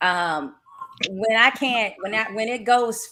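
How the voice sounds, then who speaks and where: A woman speaks with a Southern accent at a fairly high pitch. Her pace is fairly slow, with ordinary pitch variation. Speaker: boxing commentator and writer. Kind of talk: casual chat.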